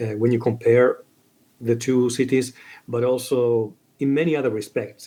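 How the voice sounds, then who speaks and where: Using a dark, mellow tone at a medium pitch, a man speaks at a fairly quick pace with monotone, flat intonation. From Italy. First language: Italian. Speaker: book video creator. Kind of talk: casual chat. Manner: halting.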